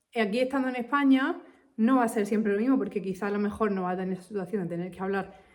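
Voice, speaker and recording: A woman speaks in a Castilian accent with an animated tone at a very fast pace. Her pitch is medium, with ordinary pitch variation. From Spain. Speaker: English teacher. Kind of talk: casual talk to camera.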